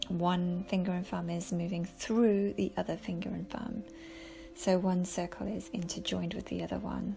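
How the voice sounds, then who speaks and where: With noticeable background noise around her, a woman speaks in a calm tone at a moderate pace. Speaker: yoga teacher. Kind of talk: guided yoga class. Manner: calm, instructive.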